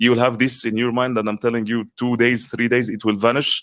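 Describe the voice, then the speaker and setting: A man speaks at a medium pitch with an Arabic accent. The recording is very clean, with a silent background. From Egypt. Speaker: coach and content creator. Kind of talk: interview.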